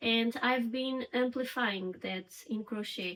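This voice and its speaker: Against noticeable background noise, a woman with a Portuguese accent talks at a fairly slow pace and a fairly high pitch. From Portugal. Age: 30s. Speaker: crochet crafter and vlogger. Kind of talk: casual get-to-know-me vlog.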